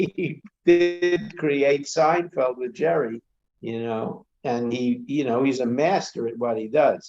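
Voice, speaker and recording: A man with a New York accent talks at a fairly slow pace, his pitch fairly high and his intonation lively. Music plays in the background. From Brooklyn, New York. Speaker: comedy club owner and actor. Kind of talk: casual interview chat.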